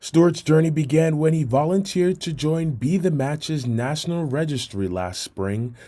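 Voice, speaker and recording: On a very clean recording with a silent background, a man with a plain, everyday voice talks at a moderate pace and a fairly high pitch, with lively intonation and hardly any pauses. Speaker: sports reporter. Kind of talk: sports news package narration.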